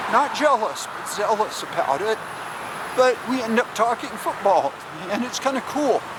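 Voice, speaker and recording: A man with an American accent speaks at an extremely high pitch with ordinary pitch variation. Noticeable background noise is present. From Southern California. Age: 60s. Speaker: travel vlogger. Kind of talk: casual vlog monologue. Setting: outdoors, walking. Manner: halting, with fillers.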